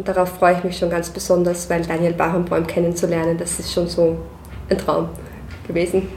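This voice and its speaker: Speaking with an Austrian accent, a woman talks at a fairly quick pace in a fairly low pitch with monotone, flat intonation. Noticeable background noise and audible room echo fill the recording. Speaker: concert manager. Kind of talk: casual interview.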